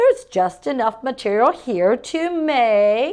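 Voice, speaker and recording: Putting on a character voice, a woman speaks at a high pitch with very wide pitch swings. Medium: read story. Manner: slow, musing.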